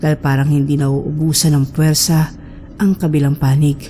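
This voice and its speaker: A woman's voice sits very deep and low in pitch as she talks fairly quickly. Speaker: horror story narrator. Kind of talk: horror story narration.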